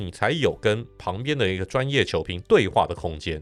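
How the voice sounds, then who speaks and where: This man talks at a moderate pace with very wide swings in pitch, on a very clean recording with a silent background. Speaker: sports broadcaster. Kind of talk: casual interview.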